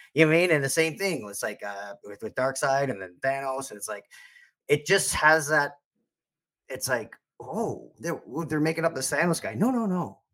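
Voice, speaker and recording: Bright and sharp in tone, a man's fairly high voice moves at a moderate pace with lively intonation and big swings in loudness. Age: 40s. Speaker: podcaster and fan convention attendee. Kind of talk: casual chat. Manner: halting, many false starts.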